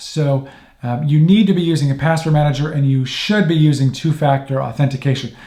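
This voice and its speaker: Speaking at a fairly quick pace, a man with a fairly high pitch has a dark, mellow, somewhat breathy tone and fairly even intonation. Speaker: tech tips youtuber. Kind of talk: tutorial. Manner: fast; casual, with fillers.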